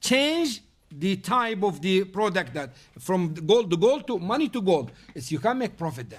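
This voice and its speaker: Here a man speaks with an Arabic accent at a high pitch. His pace is moderate. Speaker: Islamic teacher. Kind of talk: lecture with Q&A. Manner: loud; halting.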